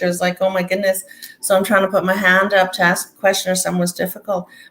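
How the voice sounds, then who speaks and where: Amid noticeable background noise, a woman with medium pitch talks at a very fast pace in a monotone, flat intonation. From Alberta, Canada (rural, near Lac La Biche). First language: Cree. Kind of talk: interview.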